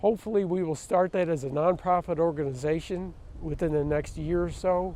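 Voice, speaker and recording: A high-pitched man's voice at a fairly quick pace, with fairly even intonation. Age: 60s. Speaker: documentary presenter. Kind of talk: personal video diary.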